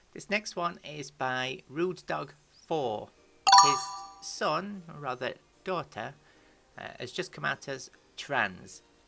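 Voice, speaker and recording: Soft music runs behind the speaker. The words come out very slowly. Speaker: YouTuber answering transgender questions. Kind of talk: casual commentary reading forum questions. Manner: halting, many fillers.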